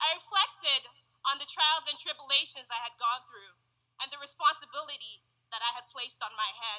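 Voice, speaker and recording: Raised and projected, a woman's high-pitched voice comes at a fairly quick pace with a bright, sharp tone. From Nigeria. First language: Igbo. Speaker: university graduate and commencement speaker. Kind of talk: graduation commencement speech to an audience.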